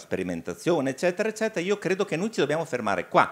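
Against a quiet background, a man speaks with vocal fry and very wide pitch swings. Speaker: hematologist; doctor on seminar panel. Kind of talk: online meeting remarks. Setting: online meeting. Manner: halting. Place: meeting room. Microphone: handheld.

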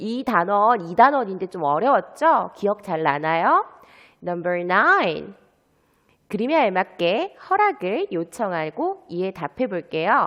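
A woman talks very slowly, her pitch rising and falling very widely. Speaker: English teacher. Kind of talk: lesson. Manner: animated.

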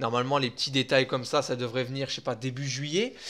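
There is a bright, sharp tone to the man speaking here. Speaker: gaming YouTuber. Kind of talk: casual video commentary. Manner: fast.

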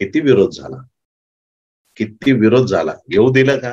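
Against a quiet background, a man talks at a medium pitch with vocal fry. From Maharashtra, India. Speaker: pastor. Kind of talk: sermon. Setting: conference with audience. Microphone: lapel.

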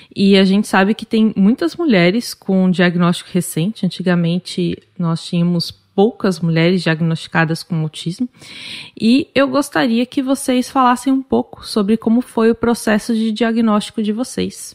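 Captured with a dry, close sound with no echo, a woman in an ordinary speaking voice talks at medium pitch and a moderate pace. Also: lively intonation. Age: 30s. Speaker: podcast host. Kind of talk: interview moderation; scripted podcast intro.

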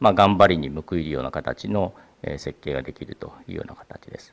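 A man speaks at a fairly quick pace. His intonation is lively, with vocal fry. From Japan. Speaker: venture capital partner; presenter. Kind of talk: presentation. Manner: halting with many fillers; formal. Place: hall.

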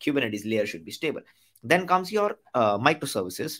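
A man speaks fairly quickly, and the background stays quiet. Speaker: tech educator. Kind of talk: tutorial.

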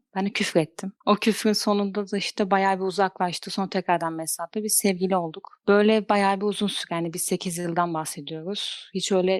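A woman at medium pitch, fairly quick pace, and monotone, flat intonation, in a dry, close sound with no echo. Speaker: caller sharing a personal story. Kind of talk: personal confession. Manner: fast.

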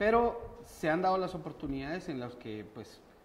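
Light background noise sits behind a man's voice. His intonation is lively. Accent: Guatemalan. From Guatemala. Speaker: storyteller. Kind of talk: interview answer. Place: studio. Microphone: camera far.

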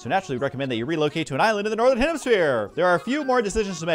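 A natural voice, reading aloud

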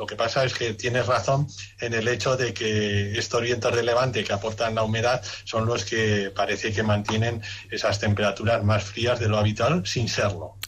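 Over light background noise, a man talks at a moderate pace in a monotone, flat intonation. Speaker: guest. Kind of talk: radio interview answer.

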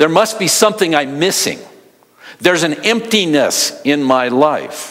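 Lively intonation and a moderate pace shape the man's speech over a quiet background. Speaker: pastor. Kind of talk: sermon. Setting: church. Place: church.

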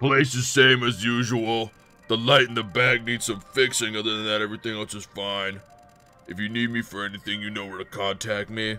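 A man's put-on character voice, medium-pitched and monotone, flat in intonation, at a fairly quick pace with big swings in loudness, over faint music in the background. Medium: game stream. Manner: curt, authoritative.

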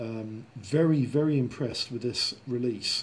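Somewhat breathy, a man speaks at a medium pitch and varies it in an ordinary way. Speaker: model kit reviewer. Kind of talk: tutorial. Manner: casual, rambling with fillers.

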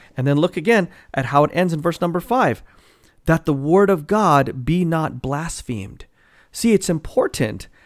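With very wide pitch swings, a man speaks at a moderate pace against a quiet background. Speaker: Bible teacher. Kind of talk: sermon. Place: home room. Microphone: studio mic.

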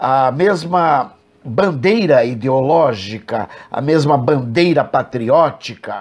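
A man with a rather high voice talks extremely slowly. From Brazil. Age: 60s. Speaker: evangelical preacher and program host; evangelical preacher, program host. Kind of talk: religious commentary monologue. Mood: critical, measured. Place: home room. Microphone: earbuds.

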